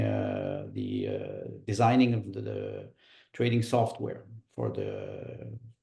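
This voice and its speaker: A man is speaking. He talks with a Quebec accent. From Quebec, Montreal. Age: 60s. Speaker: political candidate. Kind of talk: interview. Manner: halting, many fillers.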